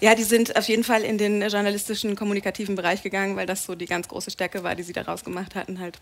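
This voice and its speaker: Noticeable background noise sits under very fast, monotone, flat speech with big swings in loudness and hardly any pauses. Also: woman, medium pitch for a woman. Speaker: TV and radio presenter. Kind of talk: talk show interview. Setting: pub stage with live audience. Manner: talkative.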